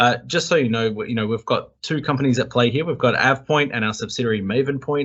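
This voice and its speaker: Talking very fast with an Australian accent, a man keeps a medium pitch and ordinary pitch variation. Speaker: tech company executive. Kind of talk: webinar presentation. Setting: video call from hotel room.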